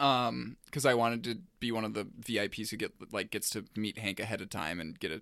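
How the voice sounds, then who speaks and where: A bright, sharp voice with vocal fry and ordinary pitch variation comes through a very clean recording with a silent background. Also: man. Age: 20s. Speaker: podcast host. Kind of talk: casual chat. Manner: halting.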